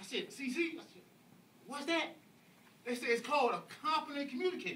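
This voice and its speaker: Raised and projected, a man's voice races at a very fast pace with extremely high pitch, a bright, sharp tone, lively intonation, big swings in loudness and a slight Southern accent. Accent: slight southern twang. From US South, Atlanta, Georgia. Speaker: public speaker at speaking club. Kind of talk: speech to audience. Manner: animated.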